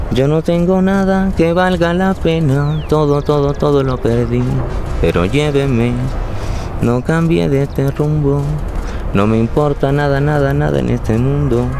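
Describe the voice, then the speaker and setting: The sound is dry with no echo. A man speaks over noticeable background noise. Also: fairly slow pace. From Nariño, Colombia. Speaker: actor. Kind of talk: dramatic spoken monologue of song lyrics. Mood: melancholic, theatrical. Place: open country.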